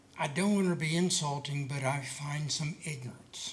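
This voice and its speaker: A man speaks at a moderate pace amid noticeable background noise. Audible room echo surrounds his voice. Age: 70s. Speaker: citizen commenter. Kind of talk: public comment.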